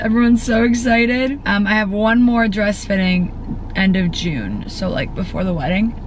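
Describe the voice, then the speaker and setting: At a moderate pace, a woman with a fairly high pitch and ordinary pitch variation speaks in a dry sound with no echo over light background noise. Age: 20s. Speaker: lifestyle vlogger. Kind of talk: casual vlog. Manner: animated. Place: car. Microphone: camera far.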